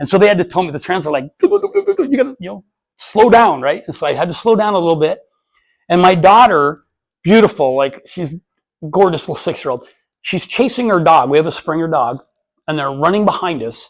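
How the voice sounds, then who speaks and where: Animated and fairly quick, a man speaks high for a man with an American accent, lively intonation, big swings in loudness and long, frequent pauses. The recording is very clean, with a silent background. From Montana, Anaconda. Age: 50s. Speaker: entrepreneur and motivational speaker. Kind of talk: casual talk to business group. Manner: fast and loud.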